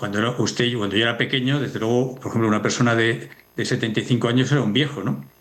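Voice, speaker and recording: A man at a very fast pace and medium pitch, with audible room echo. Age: 60s. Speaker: demography expert. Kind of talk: TV news interview.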